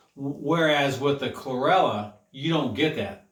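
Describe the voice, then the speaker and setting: There is audible room echo. Within it, a man talks at a moderate pace. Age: 50s. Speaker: health coach. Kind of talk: health talk monologue. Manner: repetitive, halting with self-corrections.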